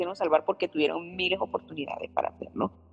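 This woman's voice sounds dry and close, with no echo at all. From Venezuela. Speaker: pastor's wife. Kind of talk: casual chat.

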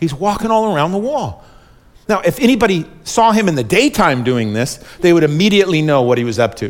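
At a fairly quick pace, a man speaks with a high pitch and very wide pitch swings. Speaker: pastor. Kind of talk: sermon. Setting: church. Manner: fast when excited.

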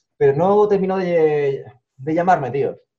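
Speaking at a fairly slow pace, a man with a high pitch has a dark, mellow tone and ordinary pitch variation. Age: 30s. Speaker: youtuber. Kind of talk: interview.

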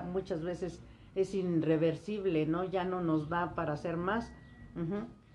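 At a very slow pace, the speech runs in monotone, flat intonation with audible room echo. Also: woman. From Mexico, Hidalgo. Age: 70s. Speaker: retired administrator and teacher. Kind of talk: casual interview.

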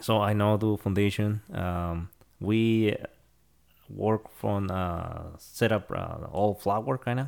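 A man speaks very slowly with a Spanish accent, his pitch fairly low and his intonation fairly even. The recording is very clean, with a silent background. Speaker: concrete crew scheduler. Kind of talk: casual interview. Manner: halting.

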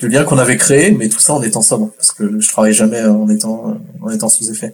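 In a plain, everyday voice, a man talks at a moderate pace with lively intonation. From France. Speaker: guest. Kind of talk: casual chat.

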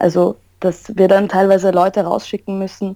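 A woman's dark, mellow tone at a moderate pace, in a dry, close sound with no echo. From Austria, Vienna. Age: 20s. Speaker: professional wrestler. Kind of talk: interview.

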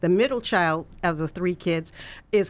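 With an American accent, a woman talks at a moderate pace in an unremarkable speaking voice on a very clean recording with a silent background. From California (US West). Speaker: nonprofit founder and education advocate. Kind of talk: interview.

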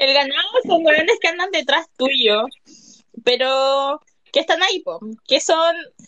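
Pausing long and often, a woman speaks at a fairly slow pace in a high pitch. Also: ordinary pitch variation. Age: 20s. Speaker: listener participant. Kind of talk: casual chat. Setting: Twitter Spaces audio room.

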